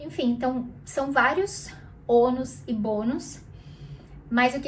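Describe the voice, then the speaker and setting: A woman speaks at a high pitch and a fairly slow pace. Audible room echo is present. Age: 20s. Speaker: youtuber. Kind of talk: casual vlog monologue. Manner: conversational, with fillers.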